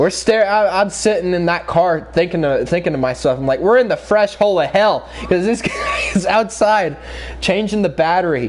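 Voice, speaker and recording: Moderate pacing and ordinary pitch variation, over noticeable background noise. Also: man, high pitch for a man. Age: young. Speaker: gaming streamer. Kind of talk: storytelling during a live stream. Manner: halting.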